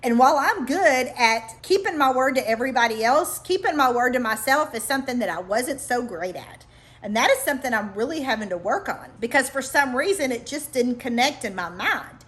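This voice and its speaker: Quick-paced and lively in intonation, a woman with a high pitch talks with hardly any pauses. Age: middle-aged. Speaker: life coach. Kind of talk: vlog monologue. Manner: casual, conversational.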